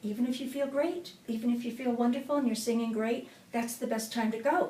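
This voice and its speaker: Room echo surrounds a woman speaking at a fairly quick pace. Her fairly high pitch shows ordinary variation. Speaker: singing coach. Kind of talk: tutorial.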